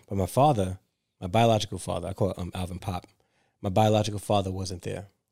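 Very fast and fairly low in pitch, a man with a New York accent and a dark, mellow tone speaks on a very clean recording with a silent background. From New York City (Brooklyn, Staten Island). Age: 40s. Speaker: author and educator. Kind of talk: casual interview.

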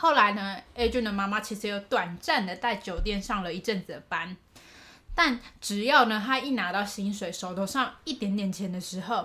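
A woman's bright, sharp tone at a moderate pace, with ordinary pitch variation. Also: medium pitch for a woman. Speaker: podcast co-host. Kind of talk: case storytelling. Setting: home recording in co-host's room. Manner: raises pitch slightly when recording.

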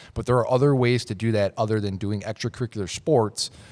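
With an American accent, a man with a fairly low pitch speaks at a very fast pace with fairly even intonation on a very clean recording with a silent background. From Minnesota, Twin Cities. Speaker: motorsports journalist. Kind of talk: casual chat.

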